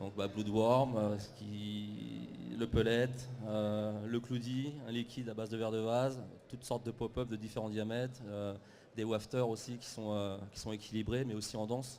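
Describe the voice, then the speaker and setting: A man's medium-pitched, dark, mellow voice at a fairly slow pace, with monotone, flat intonation. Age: 30s. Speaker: fishing bait brand representative. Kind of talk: live TV interview. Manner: halting, many fillers.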